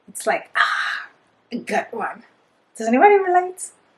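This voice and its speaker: A woman's animated voice in a Spanish accent. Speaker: book reviewer. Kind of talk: casual book review monologue.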